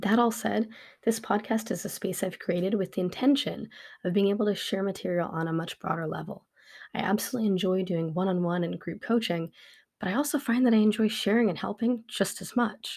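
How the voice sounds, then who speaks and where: Somewhat breathy and medium in pitch, a woman speaks at a fairly quick pace on a very clean recording with a silent background. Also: ordinary pitch variation. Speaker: podcast host and life coach. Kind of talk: solo podcast monologue. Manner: fast; unedited, with stutters and self-corrections.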